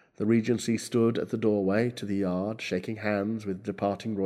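Fairly even intonation in a natural reading voice

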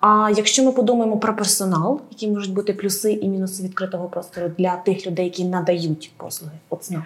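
A woman talks at a fairly quick pace with hardly any pauses and fairly even intonation over noticeable background noise. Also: medium pitch for a woman. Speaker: podcast co-host. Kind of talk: moderated podcast discussion. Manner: hesitant, some filler sounds.

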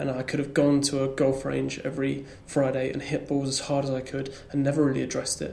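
Delivered in an English accent, the speech runs at a fairly quick pace with hardly any pauses. The intonation is monotone and flat, and there is noticeable background noise. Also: man, medium pitch for a man. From rural England. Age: 20s. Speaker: comedian. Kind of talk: casual chat. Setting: comedy club attic. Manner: halting.

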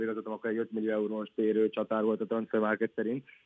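A man at a medium pitch has a bright, sharp tone, captured in a dry, close sound with no echo. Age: 20s. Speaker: professional footballer. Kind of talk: interview. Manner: halting.

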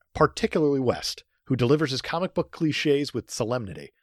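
On a very clean recording, a man talks against a silent background. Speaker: podcast co-host. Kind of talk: casual chat.

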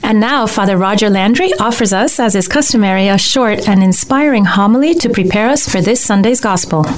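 At a fairly quick pace with hardly any pauses, the voice keeps a very even loudness and ordinary pitch variation over noticeable background noise. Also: woman, fairly high pitch for a woman. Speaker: radio host. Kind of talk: interview.

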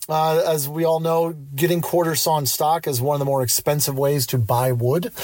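A man with an American accent at a moderate pace, ordinary pitch variation, and noticeable background noise. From Central Pennsylvania, US. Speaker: listener voicemail caller.

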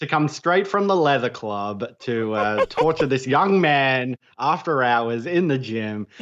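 A man with an Australian accent and a medium pitch speaks at a fairly slow pace with lively intonation and hardly any pauses. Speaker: podcaster, guest co-host. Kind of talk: casual chat.

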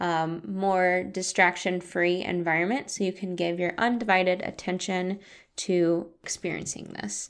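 On a very clean recording with a silent background, a woman with an ordinary speaking voice speaks at a fairly slow pace in a medium pitch. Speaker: meditation guide and podcast host. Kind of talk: guided meditation. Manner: slow, calm, soothing and gentle, with long pauses; soft-spoken, warm and inviting.

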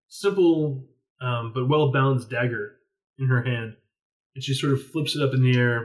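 Quiet surroundings behind a natural reading voice

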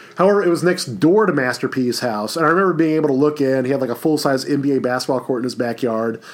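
A man with a fairly high voice talks with hardly any pauses and ordinary pitch variation. Noticeable background noise can be heard. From Louisiana, Baton Rouge. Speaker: history professor. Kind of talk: recorded lecture. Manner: casual, filler-heavy.

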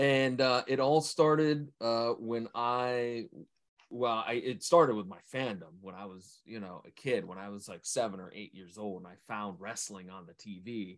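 At a fairly slow pace, a man uses an unremarkable speaking voice at medium pitch, with ordinary pitch variation and big swings in loudness. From Ohio, US.

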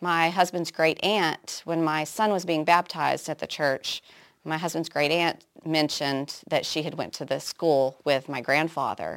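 In a very clean recording with a silent background, a woman with an American accent speaks at a very deep, low pitch with fairly even intonation. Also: fairly slow pace. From Oklahoma. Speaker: nurse and public health officer. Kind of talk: interview testimony.

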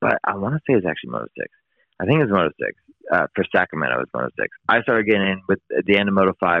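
Speaking very fast in an American accent, a man lets his pitch swing very widely. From US West Coast, San Francisco East Bay. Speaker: motocross filmmaker and video editor. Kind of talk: casual interview.

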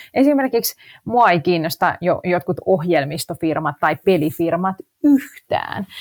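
A woman talks at a fairly slow pace in a fairly low pitch, her voice swinging very widely in pitch. The sound is dry and close with no echo, on a very clean recording with a silent background. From Finland, Helsinki. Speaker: actress and investing blogger. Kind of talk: podcast interview.

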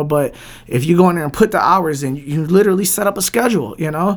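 A man with a Detroit accent, a fairly high pitch, a very fast pace and ordinary pitch variation. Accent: Detroit American English. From Southwest Detroit, Michigan. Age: 30s. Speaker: DJ and record label owner. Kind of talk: casual interview. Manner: animated.

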